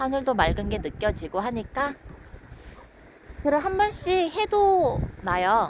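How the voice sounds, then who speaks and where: A woman speaks at a very slow pace with very wide pitch swings, and noticeable background noise can be heard. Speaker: live streamer. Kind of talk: casual live stream chat. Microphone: far from the device.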